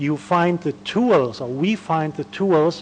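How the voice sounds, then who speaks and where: Noticeable background noise runs behind this recording. A man with a German accent speaks at a fairly high pitch. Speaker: academic conference speaker. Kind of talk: academic lecture. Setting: conference panel. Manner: hesitant, many fillers.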